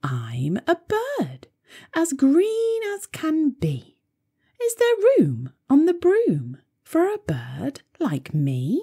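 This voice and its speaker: Using a put-on character voice, a woman speaks at a very slow pace. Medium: read story.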